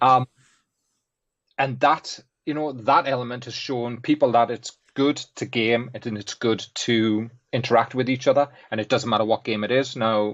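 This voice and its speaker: In a Geordie accent, a man speaks at medium pitch and a moderate pace with fairly even intonation. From northern England, Newcastle. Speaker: graphics artist and guest co-host. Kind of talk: casual chat.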